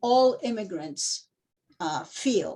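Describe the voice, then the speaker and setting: Speaking at a very slow pace, a woman talks with a Spanish accent. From moved to the US at age nine from a Spanish-speaking country. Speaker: performance artist. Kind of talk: interview. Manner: halting, many fillers.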